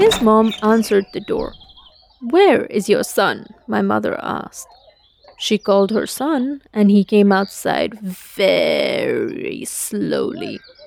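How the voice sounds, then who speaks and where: Speech at a very slow pace comes through noticeable background noise. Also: woman. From India. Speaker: storyteller. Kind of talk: scripted narration.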